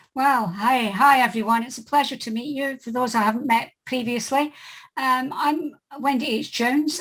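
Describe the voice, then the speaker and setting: High female pitch, fairly even intonation and a moderate pace from a woman. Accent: Scottish. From Scotland. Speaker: author and editor. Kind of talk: casual chat.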